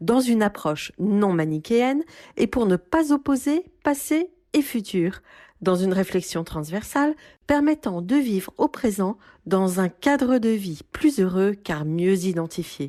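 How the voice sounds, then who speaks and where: Very slow, dark and mellow speech with very wide pitch swings and very even loudness, dry and close with no echo against a quiet background. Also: woman, medium pitch for a woman. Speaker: podcast host. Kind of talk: podcast intro.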